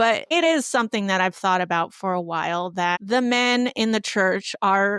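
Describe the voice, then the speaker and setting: Dry, close sound with no echo and a silent background in a very clean recording, a woman's ordinary speaking voice at a moderate pace with ordinary pitch variation. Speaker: podcast host. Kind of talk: casual discussion podcast.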